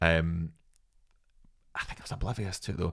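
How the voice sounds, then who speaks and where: Here a man speaks with a Scottish accent. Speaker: comedian and actor. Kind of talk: casual chat. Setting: studio.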